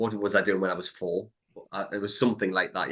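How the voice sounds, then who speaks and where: A man talking very fast at a fairly low pitch. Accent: Geordie. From northern England, Newcastle. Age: 30s. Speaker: entrepreneur and property investor. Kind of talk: podcast interview.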